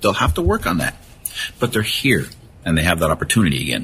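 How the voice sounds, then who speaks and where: A man's voice has a bright, sharp tone along with vocal fry. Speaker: retired police officer and suicide prevention speaker. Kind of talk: interview. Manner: naturally fast talker.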